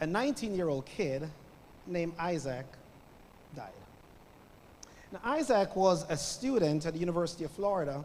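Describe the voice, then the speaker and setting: A man talks at a moderate pace in a Jamaican accent, his pitch high and his intonation lively. Long, frequent pauses break up his speech, and the room echo is audible. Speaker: guest preacher. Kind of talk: sermon. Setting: church with congregation.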